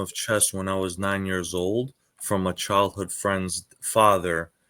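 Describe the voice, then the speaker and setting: Against a very clean recording with a silent background, a man with a New York accent speaks at a fairly slow pace, his pitch fairly low and his intonation fairly even. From New York (Queens). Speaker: chess teacher. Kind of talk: interview.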